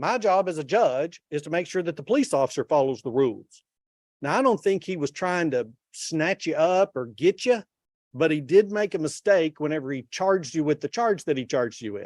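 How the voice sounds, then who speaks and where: A man with a Texan accent and a fairly high pitch talks at a fairly quick pace with lively intonation, in a dry, close sound with no echo. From Texas. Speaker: judge. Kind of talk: court hearing. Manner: casual.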